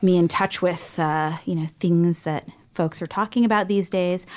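A woman with an unremarkable speaking voice talks at a moderate pace and medium pitch on a very clean recording with a silent background. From US, child of immigrants. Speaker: author and professor, former pediatrician. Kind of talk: interview. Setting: studio. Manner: frequent filler ums.

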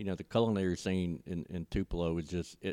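Someone with a Mississippi accent speaks at a moderate pace. The tone is dark and mellow, with a dry, close sound and no echo. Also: man. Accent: US Southern (Mississippi). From Mississippi Gulf Coast (Ocean Springs). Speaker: arena marketing director. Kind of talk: casual chat. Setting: in a converted bank venue downtown.

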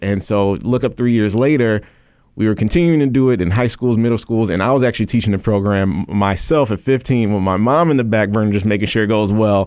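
A man talks at a very fast pace in a fairly low voice with an American accent. His pitch varies in an ordinary way, and his loudness stays very even. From Chicago south suburbs. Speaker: nonprofit founder and CEO. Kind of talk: radio interview. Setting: radio studio.

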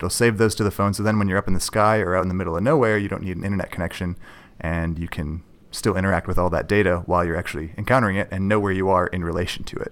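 Very deep, low male voice with an American accent at a very fast pace, fairly even intonation, very clean recording and silent background. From Minnesota, north shore of Lake Superior. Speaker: geology graduate student and app developer. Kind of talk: interview.

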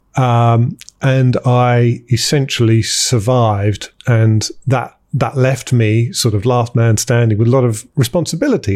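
With a British accent, a man talks at medium pitch in a dark, mellow tone. He sounds somewhat breathy, with fairly even intonation. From countryside England (partly New Zealand). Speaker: tech company founder. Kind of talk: interview. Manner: halting, frequent repetitions.

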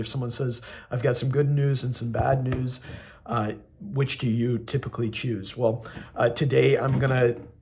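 A man speaks at a fairly slow pace in a somewhat breathy, medium-pitched voice with fairly even intonation. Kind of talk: recorded homily. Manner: halting, many fillers.

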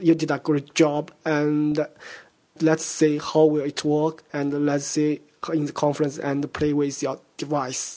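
A man with a Chinese accent speaks at a fairly slow pace and fairly high pitch, with a dark, mellow tone and monotone, flat intonation. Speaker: conference interviewer. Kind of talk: interview. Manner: halting, repetitive.

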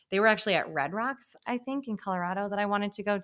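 A woman with an unremarkable speaking voice talks at a fairly quick pace with ordinary pitch variation, on a very clean recording with a silent background. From Hamilton, Michigan, US Midwest. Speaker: school staff member. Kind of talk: casual chat.

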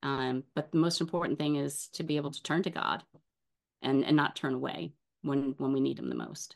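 A woman with an American accent speaks in a very deep, low voice with vocal fry. The background is quiet. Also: ordinary pitch variation, fairly quick pace. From US South, New Orleans. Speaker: actress. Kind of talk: casual interview.

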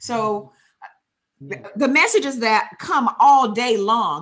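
With a normal speaking voice, a woman talks in a fairly high pitch and lively intonation. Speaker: podcast co-host. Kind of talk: podcast interview.

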